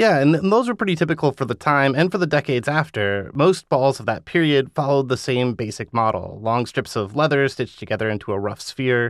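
A man with a normal speaking voice talks at a fairly quick pace in a medium pitch, with lively intonation and hardly any pauses. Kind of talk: interview. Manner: laughing, conversational.

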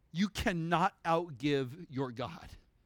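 With music playing behind him, a man speaks in a high pitch with an animated tone and ordinary pitch variation. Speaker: preacher. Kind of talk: sermon. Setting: church. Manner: conversational.

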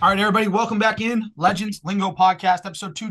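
A man speaks at a fairly quick pace with a Boston accent. His tone is bright and sharp against a quiet background. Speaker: podcast host. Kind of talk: casual chat.

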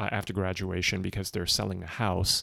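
Very deep, low-pitched male voice, monotone and flat, on a very clean recording with a silent background. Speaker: tech founder and investor. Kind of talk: casual interview chat.

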